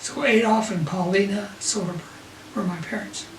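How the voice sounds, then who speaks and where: A man with an American accent speaks at a high pitch with ordinary pitch variation. Audible room echo and noticeable background noise surround him. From Utah, Salt Lake City. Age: 80s+. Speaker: grandfather telling life story. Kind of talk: family storytelling. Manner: halting.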